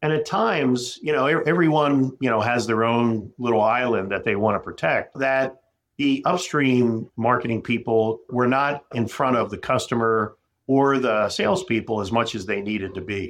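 A man's medium-pitched voice, an ordinary speaking voice, moving at a moderate pace with ordinary pitch variation. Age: 50s. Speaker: medical device company CEO. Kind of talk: interview.

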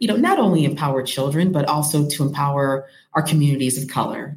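A somewhat breathy woman's voice with an American accent, very deep and low in pitch, at a fairly quick pace. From US Midwest, Rockford, Illinois. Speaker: early childhood educator and children's author. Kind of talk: interview.

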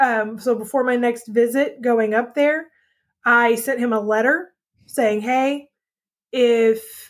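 On a very clean recording with a silent background, a woman speaks with a high pitch. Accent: Texan. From Texas. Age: 40s. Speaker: podcast guest sharing life story. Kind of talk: testimony.

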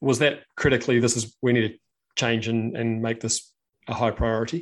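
In a New Zealand accent, a man talks at a medium pitch and moderate pace against a quiet background. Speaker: podcast host. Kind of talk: casual interview chat. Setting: live video stream.

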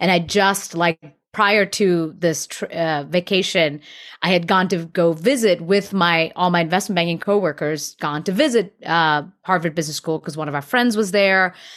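A plain, everyday voice, from a woman with an American accent and a fairly low pitch, at a moderate pace with ordinary pitch variation. The recording is very clean, with a silent background. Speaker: actress. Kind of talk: casual interview chat.

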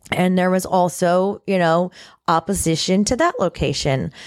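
A woman with an American accent speaks in an ordinary speaking voice, fairly low in pitch and fairly slow, with fairly even intonation, the recording very clean, dry and close with a silent background and no echo. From Florida, Martin County (Indiantown). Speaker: county commissioner. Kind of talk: interview.

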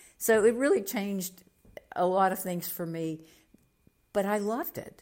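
This woman has an ordinary speaking voice with an American accent. She talks at a moderate pace. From Oklahoma (Muskogee). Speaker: county commissioner and mayoral candidate, former TV broadcaster. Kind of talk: interview conversation.

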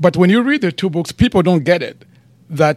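Very wide pitch swings from a man with a high-pitched voice. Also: dry, close sound with no echo. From Democratic Republic of Congo. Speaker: theologian and pastor. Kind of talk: interview. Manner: halting.

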